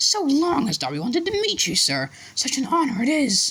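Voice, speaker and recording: A man puts on a character voice, pitched extremely high. He speaks at a moderate pace. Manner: eager, reverent, fawning.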